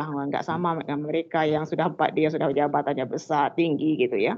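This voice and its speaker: At a very fast pace, a woman speaks in a very deep, low voice. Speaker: teacher participant. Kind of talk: question. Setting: video call. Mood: complaining, concerned. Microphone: video call.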